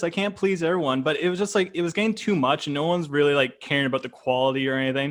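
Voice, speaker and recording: With a Canadian accent, a man races along very fast with hardly any pauses and lively intonation. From Canada. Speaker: YouTube reaction creator. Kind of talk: casual chat.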